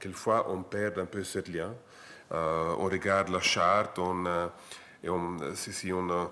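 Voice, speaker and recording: In an Italian accent, a man speaks very slowly in a flat monotone, his voice bright, sharp and fairly low. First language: Italian (speaking French). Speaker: international lawyer, associate professor. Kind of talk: panel talk. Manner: halting.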